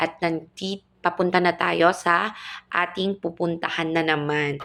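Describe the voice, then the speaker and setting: A woman's fairly low voice with fairly even intonation, an ordinary speaking voice. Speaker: family vlogger. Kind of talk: vlog voice-over narration.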